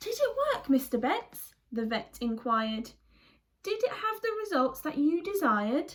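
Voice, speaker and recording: A woman speaks in a put-on character voice, pitched high. Her pitch leaps widely up and down at a moderate pace. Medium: read story. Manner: hearty, confident.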